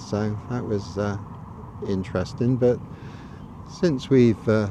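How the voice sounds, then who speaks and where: A man with a Gloucestershire accent, medium pitch, ordinary pitch variation and a fairly slow pace. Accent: southern English (Gloucestershire). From Gloucestershire, England. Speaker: local video blogger. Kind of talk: casual walking tour narration. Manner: hesitant, many fillers.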